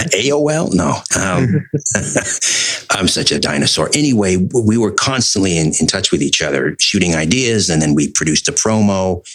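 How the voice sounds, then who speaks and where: A man with a fairly low pitch talks at a moderate pace, his pitch swinging very widely while his loudness stays very even. Noticeable background noise sits behind him. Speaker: radio host. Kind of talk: interview answer.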